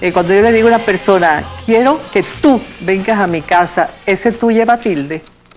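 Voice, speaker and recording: Music plays behind a woman with a medium pitch. She talks at a moderate pace with ordinary pitch variation. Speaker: TV host and broadcaster. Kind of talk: TV interview host.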